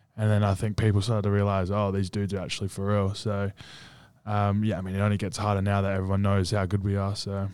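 In an Australian accent, a man with a fairly low pitch talks at a very fast pace in a flat monotone. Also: very clean recording, silent background. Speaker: college basketball player and podcast co-host. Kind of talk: casual chat. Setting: studio.

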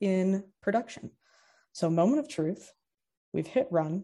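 A woman with an American accent speaks at a fairly slow pace in a dark, mellow tone. The background is quiet. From Kentucky, US. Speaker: data scientist. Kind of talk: technical presentation. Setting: live-streamed show with studio audience.

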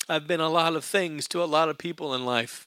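Here a man uses an unremarkable speaking voice at a fairly quick pace. The intonation is fairly even and the sound is dry and close, with no echo. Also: very clean recording, silent background. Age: 40s. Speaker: pastor. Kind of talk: sermon.

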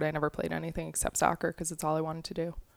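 With an American accent, a woman speaks in a very deep, low pitch on a very clean recording with a silent background and a dry, close sound with no echo. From Long Island, New York. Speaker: college soccer coach. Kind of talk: interview.

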